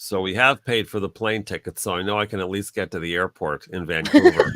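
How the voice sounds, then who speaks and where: In a dry, close recording with no echo, a man with an American accent talks fairly quickly at a fairly low pitch with ordinary pitch variation. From Pennsylvania, US. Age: 60s. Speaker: climate activist and skateboarder. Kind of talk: livestream fundraiser chat. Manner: casual, hesitant with many fillers.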